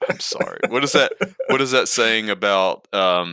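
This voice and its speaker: In a very clean recording with a silent background, a man with an Alabama accent talks at a moderate pace in a bright, sharp tone. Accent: Alabama Southern US. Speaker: wildlife ecology professor. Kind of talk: casual chat.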